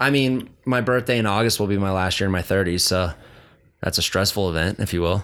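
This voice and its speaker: A man with an American accent speaks in a normal speaking voice at a fairly low pitch, with ordinary pitch variation and a fairly quick pace. His loudness stays very even in a very clean recording with a silent background. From Carson City, Nevada. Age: 30s. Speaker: retired motocross rider. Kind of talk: casual chat.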